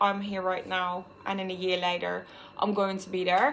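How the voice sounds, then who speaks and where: This voice belongs to a woman. She speaks with a Dutch accent. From Netherlands. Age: 20s. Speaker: vlogger. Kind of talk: personal vlog monologue.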